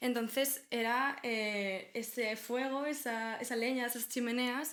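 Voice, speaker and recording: A woman with a Galician accent speaks at a very slow pace with a high pitch. The room echo is audible. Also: fairly even intonation. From Galicia, Spain. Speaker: podcast co-host. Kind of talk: casual conversational podcast discussion.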